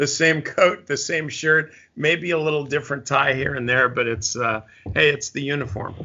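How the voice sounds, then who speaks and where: A man with an unremarkable speaking voice, pitched fairly high for a man. His pitch varies in an ordinary way, and he talks at a moderate pace. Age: 60s. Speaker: stock trading mentor. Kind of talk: casual interview.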